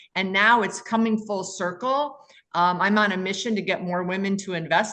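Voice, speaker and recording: A woman speaks with an American accent in a plain, everyday voice, her pitch medium. Her intonation stays fairly even at a moderate pace. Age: 60s. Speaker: commercial real estate investor. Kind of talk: podcast interview.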